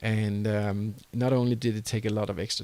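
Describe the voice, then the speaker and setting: In a Danish accent, a man talks at a medium pitch and moderate pace with ordinary pitch variation, on a very clean recording with a silent background. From Denmark. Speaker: entrepreneur and online course creator. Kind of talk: tutorial.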